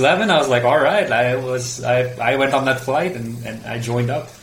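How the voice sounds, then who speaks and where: Over noticeable background noise, a man with a medium-pitched voice speaks at a moderate pace. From Mumbai, India. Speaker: filmmaker and video producer. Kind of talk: interview. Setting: remote call. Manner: halting.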